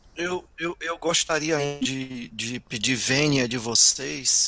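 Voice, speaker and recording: Dry and close with no echo, this very clean recording over a silent background carries a man's bright, sharp tone at medium pitch with ordinary pitch variation. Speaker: educator. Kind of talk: casual chat.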